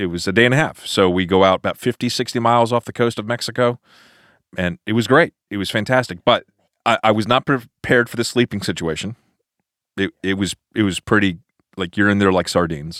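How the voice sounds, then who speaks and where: In a normal speaking voice, a man with a fairly low pitch and ordinary pitch variation talks at a fairly quick pace, recorded very cleanly with a silent background and a dry, close sound with no echo. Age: 40s. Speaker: pastor. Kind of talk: casual chat. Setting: studio.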